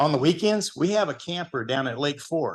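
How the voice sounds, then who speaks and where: A man with an American accent speaks in a high pitch. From Texas, Duncanville. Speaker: hospital EMS program manager, guest speaker. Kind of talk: talk at a club meeting. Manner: conversational, asks audience questions.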